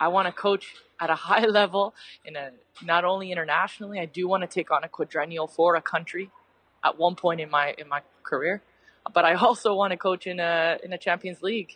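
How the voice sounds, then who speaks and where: In a dry, close sound with no echo, a woman with a fairly low pitch speaks at a fairly quick pace, keeping fairly even intonation while her loudness swings widely. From Canada, Mississauga. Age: 30s. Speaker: retired soccer player and coach. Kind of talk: casual interview. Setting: coffee shop, video or phone call.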